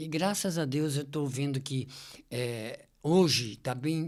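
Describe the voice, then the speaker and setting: A man at a very slow pace with ordinary pitch variation, in a very clean recording with a silent background. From São Paulo state, Brazil. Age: 70s. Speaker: activist and TV presenter. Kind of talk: podcast interview.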